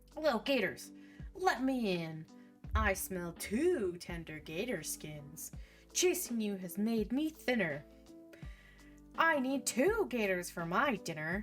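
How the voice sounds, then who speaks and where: Using a put-on character voice, a woman speaks fairly slowly in a raspy, medium-pitched tone. Long, frequent pauses stand out against clear music in the background. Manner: menacing.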